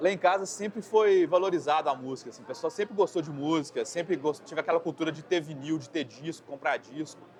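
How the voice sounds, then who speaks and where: Talking at a very fast pace with hardly any pauses, a man with a fairly high voice uses ordinary pitch variation over noticeable background noise. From Brazil, Belo Horizonte. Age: 40s. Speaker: metal vocalist and graphic designer. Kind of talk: interview. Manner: casual, halting with repetitions.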